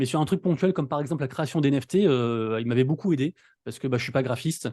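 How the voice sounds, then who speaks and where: A man's very fast speech, fairly high in pitch with a dark, mellow tone and ordinary pitch variation, over a quiet background. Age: 30s. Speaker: NFT news content creator. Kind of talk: casual interview. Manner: poor articulation.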